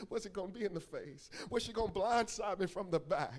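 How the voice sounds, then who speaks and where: A man with a high voice for his sex raises and projects it over noticeable background noise. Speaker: pastor. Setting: church. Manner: call-and-response with congregation.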